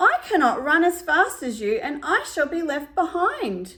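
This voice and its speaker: In a put-on character voice, a woman speaks at an extremely high pitch, raised and projected, at a moderate pace. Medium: read story.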